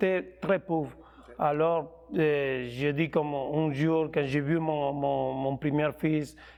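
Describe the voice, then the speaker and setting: A man's fairly even intonation comes through at a very slow pace. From Colombia. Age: 30s. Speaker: professional boxer. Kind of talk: interview. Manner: halting.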